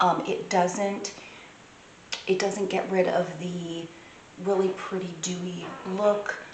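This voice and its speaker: Very slow, monotone speech from a woman at medium pitch, with flat intonation, audible room echo and noticeable background noise. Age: 40s. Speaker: beauty vlogger. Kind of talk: product review. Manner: casual, hesitant with fillers.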